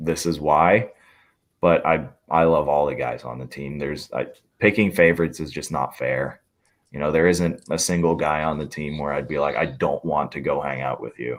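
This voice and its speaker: With vocal fry and a very deep, low pitch, a man speaks at a moderate pace with fairly even intonation. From Hungary and Austria. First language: Hungarian. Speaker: hockey player. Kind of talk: podcast interview.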